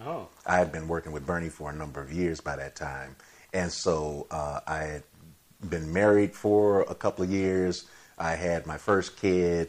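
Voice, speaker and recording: Fairly even in intonation, a man's very deep, low voice proceeds at a moderate pace. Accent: American. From Chicago. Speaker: TV writer and director. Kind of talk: casual chat.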